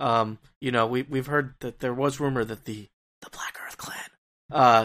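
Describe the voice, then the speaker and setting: A man speaks in a plain, everyday voice at a moderate pace with fairly even intonation. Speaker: tabletop game player. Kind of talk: tabletop roleplaying game, casual banter.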